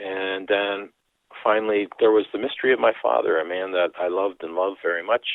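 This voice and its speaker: The speaker is a man. He has a Canadian accent. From Canada, Dutch immigrant community. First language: Dutch. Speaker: author and priest. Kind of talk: interview.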